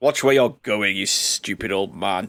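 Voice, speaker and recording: A raspy, put-on character voice from a man, fairly low in pitch, at a moderate pace. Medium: actual play. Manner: formal, brusque.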